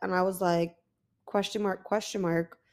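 Very clean audio, silent behind an animated tone. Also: woman. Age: 20s. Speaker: podcast host. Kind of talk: casual monologue. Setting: lying down at home.

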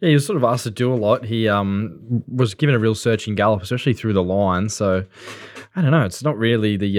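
Talking at a very fast pace, a man speaks in an Australian accent. His pitch variation is ordinary. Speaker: racing podcast co-host.

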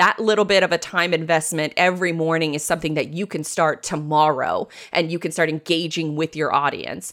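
A woman speaks at a fairly quick pace with hardly any pauses, in an American accent. Her fairly low voice stays monotone and flat. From Jacksonville, Florida, US South. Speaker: web and marketing business owner. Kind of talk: interview.

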